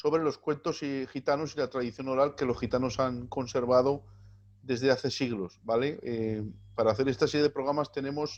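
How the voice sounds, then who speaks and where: Over a quiet background, an unremarkable speaking voice proceeds at a moderate pace with fairly even intonation. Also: man, medium pitch for a man. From Spain, Gitano community. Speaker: video channel host. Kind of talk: interview.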